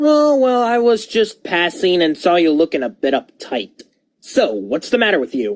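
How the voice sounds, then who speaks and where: A cartoonish character voice that sounds female sits at middle pitch, moving at a moderate pace with very wide pitch swings. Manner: chatty, insinuating.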